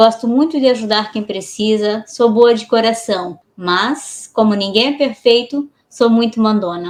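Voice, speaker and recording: Speaking at a fairly slow pace with hardly any pauses, a woman has an ordinary speaking voice, pitched fairly high with ordinary pitch variation. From Blumenau, Santa Catarina, Brazil. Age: 40s. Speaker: podcast co-host. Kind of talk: self-introduction in podcast.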